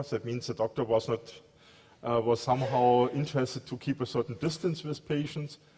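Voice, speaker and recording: A man speaks with a German accent at a medium pitch, his voice somewhat breathy. His pitch varies in an ordinary way. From Germany, Munich. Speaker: telecom research engineer. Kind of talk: conference talk. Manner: halting, many fillers.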